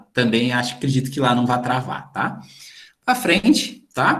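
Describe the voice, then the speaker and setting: A man at a medium pitch and moderate pace, with audible room echo. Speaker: teacher. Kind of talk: lecture. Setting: video call. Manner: animated.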